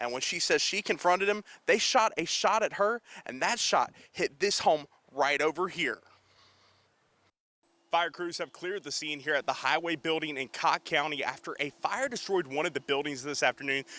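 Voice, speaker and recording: A plain, everyday voice from a man, fairly high in pitch with ordinary pitch variation, at a moderate pace, in a dry, close recording with no echo. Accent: American. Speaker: television news reporter and anchor. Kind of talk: TV news reporting and anchoring. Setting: on-location stand-up report.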